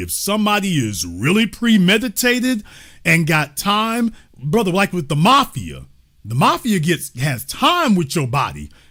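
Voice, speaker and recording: A man talks in an animated tone at a moderate pace, his pitch swinging very widely. The recording is very clean, with a silent background. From US South, Shreveport, Louisiana. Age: 50s. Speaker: talk show host. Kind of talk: casual chat.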